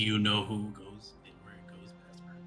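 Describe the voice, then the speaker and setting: A put-on character voice swings very widely in pitch. Faint music plays in the background. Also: man, fairly low pitch for a man, moderate pace. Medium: actual play. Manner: blunt, hard.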